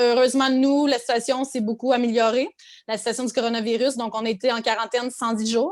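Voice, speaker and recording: A woman speaks in a high pitch with a Quebec accent and fairly even intonation. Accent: Quebec French, persistent. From Quebec, Abitibi. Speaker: content creator. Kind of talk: podcast interview. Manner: hesitant, many fillers.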